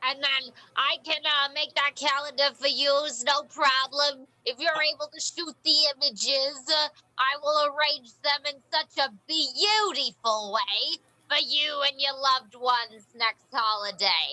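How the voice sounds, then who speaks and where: A high-pitched put-on character voice at a moderate pace. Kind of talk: comic improv character. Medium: stage play. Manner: folksy, rambling, full of "you know".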